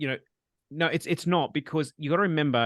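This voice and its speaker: A man in a quiet background, with a dry, close sound and no echo. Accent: Australian. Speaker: spiritual medium and webinar host. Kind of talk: live webinar Q&A. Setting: video call. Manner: fast.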